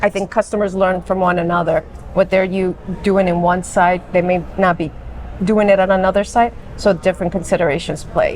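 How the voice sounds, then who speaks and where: A woman with an American accent talks at a fairly quick pace in a monotone, flat delivery, with noticeable background noise. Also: medium pitch for a woman. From Long Island, New York. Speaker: education manager at a software company. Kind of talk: interview. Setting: conference event.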